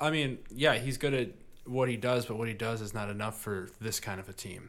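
Spoken at a moderate pace with a Midwestern US accent. The pitch rises and falls in an ordinary way. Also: man. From US Midwest. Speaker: podcast host. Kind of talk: casual chat.

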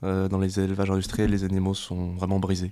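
Against a silent background in a very clean recording, a man talks at a very fast pace. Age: 20s. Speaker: animal rights youth activist. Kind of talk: casual interview. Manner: halting.

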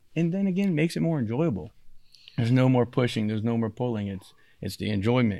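Medium in pitch, a man speaks at a very fast pace with very wide pitch swings. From Louisiana, Cajun country. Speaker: boat company lead. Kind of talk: casual chat. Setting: company headquarters, live.

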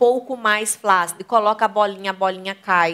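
Delivery moves at a fairly quick pace with ordinary pitch variation. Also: woman. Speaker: sex educator and channel host. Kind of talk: live talk with audience. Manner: animated.

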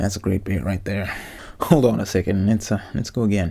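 A somewhat breathy, dark and mellow tone at a moderate pace, with ordinary pitch variation. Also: man. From Zimbabwe. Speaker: podcast host, former rugby player. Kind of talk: solo casual monologue. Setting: home recording in a wardrobe.

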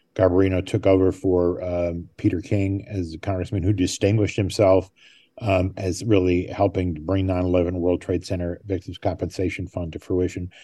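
Over a quiet background, a man with a very deep, low voice and a dark, mellow tone speaks at a moderate pace in a flat monotone. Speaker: journalist. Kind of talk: interview. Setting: remote from a desk at City Hall. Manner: halting, frequent fillers.

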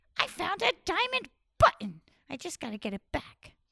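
This put-on character voice sits at an extremely high pitch, swings very widely in pitch and keeps a moderate pace. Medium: read story. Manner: cheerful, bold, excited.

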